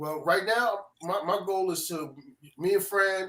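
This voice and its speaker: Speaking in a strong New York accent, a man keeps a fairly slow pace. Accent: New York accent, still strong. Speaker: music producer. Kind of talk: casual chat.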